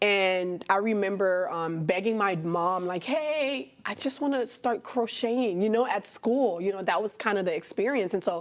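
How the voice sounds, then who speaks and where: In a Haitian accent, a woman with a medium pitch speaks at a moderate pace with lively intonation on a very clean recording with a silent background. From Miami, Florida (Haitian-American community). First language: Haitian Creole. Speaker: artist and fashion designer. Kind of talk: interview. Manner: casual, conversational.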